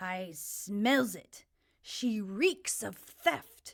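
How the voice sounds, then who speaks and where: Using a put-on character voice, a woman speaks at medium pitch with lively intonation. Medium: read story. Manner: gloating, crude.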